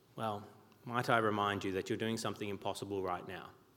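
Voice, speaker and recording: A man speaks with an Australian accent and vocal fry. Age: 40s. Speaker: pastor. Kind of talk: sermon. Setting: church.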